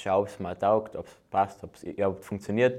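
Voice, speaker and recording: Recorded very cleanly with a silent background, a man speaks at a moderate pace and a fairly low pitch. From Austria, Carinthia (Völkermarkt). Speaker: bobsleigh athlete. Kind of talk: casual interview.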